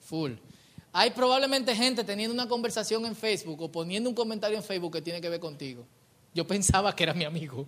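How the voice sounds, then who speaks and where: A man talks at a very fast pace with lively intonation. His pitch is high. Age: 30s. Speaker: pastor. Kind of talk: sermon.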